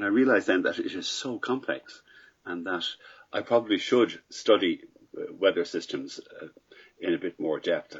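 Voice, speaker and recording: A man talks at a moderate pace, leaving long, frequent pauses. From Ireland, Dublin. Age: 60s. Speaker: paragliding pilot. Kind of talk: casual interview answers.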